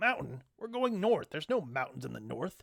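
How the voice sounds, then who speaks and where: Using a put-on character voice, a man speaks with a fairly high pitch. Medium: read story. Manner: dry, deadpan.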